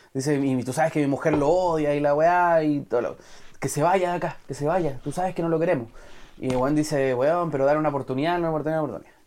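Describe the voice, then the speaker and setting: Speaking at a very fast pace, a man with a fairly high-pitched voice keeps a fairly even intonation on a very clean recording with a silent background. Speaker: film podcast host. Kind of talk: casual chat.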